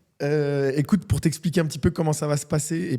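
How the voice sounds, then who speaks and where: A man's dark, mellow, somewhat breathy voice at a fairly quick pace, with fairly even intonation. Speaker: podcast host. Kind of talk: casual interview.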